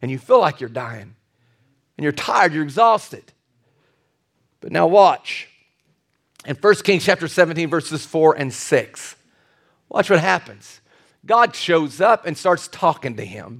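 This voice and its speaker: An animated man with a fairly high, vocal-fry voice, very wide pitch swings and big swings in loudness, at a fairly slow pace with long, frequent pauses. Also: very clean recording, silent background. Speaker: preacher. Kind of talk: sermon. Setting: church. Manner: animated, urgent pulpit delivery; direct, exhorting the congregation.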